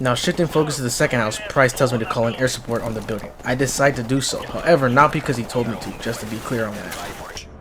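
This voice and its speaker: A man at medium pitch with ordinary variation, very fast and with hardly any pauses, big swings in loudness, and noticeable background noise. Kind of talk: comedic gameplay voiceover commentary. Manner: casual, profane, comedic.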